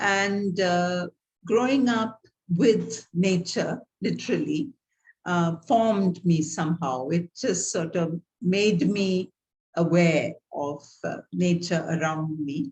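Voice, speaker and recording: A somewhat breathy woman with a Tamil Indian accent, at a very slow pace with ordinary pitch variation. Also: fairly low pitch for a woman. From South India, Tamil Nadu. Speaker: theologian and guest lecturer. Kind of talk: guest lecture over video call. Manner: halting, many fillers.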